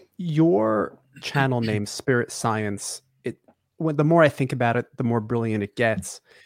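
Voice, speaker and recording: In a dry, close sound with no echo and a silent background on a very clean recording, a man at medium pitch uses a plain, everyday voice with ordinary pitch variation at a fairly slow pace. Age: 30s. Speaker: podcast co-host. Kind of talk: casual interview chat.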